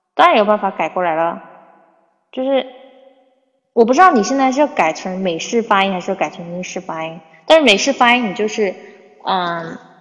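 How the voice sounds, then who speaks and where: Speaking at a fairly quick pace with lively intonation, a woman with a medium pitch leaves long, frequent pauses. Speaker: English teacher. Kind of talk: livestream chat. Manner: casual, filler-heavy.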